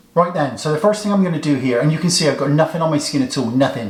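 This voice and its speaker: A man's fairly high voice amid noticeable background noise and audible room echo. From England, Somerset (Bridgwater). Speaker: beauty YouTuber. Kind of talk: makeup tutorial, comedic get-ready-with-me. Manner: deadpan, tongue-in-cheek.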